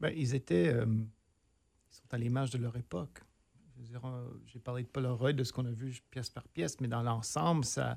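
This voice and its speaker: The man's pitch sits in the medium range, and his intonation is fairly even. He speaks at a moderate pace. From northern Ontario, near Sudbury. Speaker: theatre director and professor. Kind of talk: casual interview.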